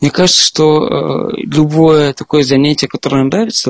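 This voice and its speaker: A man's fairly quick, normal speaking voice with ordinary pitch variation and a dry, close, echo-free sound. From Moscow, Russia. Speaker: software developer. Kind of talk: casual interview chat.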